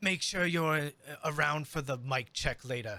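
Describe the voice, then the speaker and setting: At a moderate pace, a man puts on a character voice with a fairly high pitch and ordinary pitch variation. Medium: actual play. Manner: dismissive, curt.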